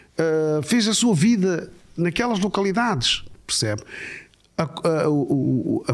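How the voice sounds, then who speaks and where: A man is speaking. His pitch moves up and down across a very wide range. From Mozambique. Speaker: imam. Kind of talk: interview.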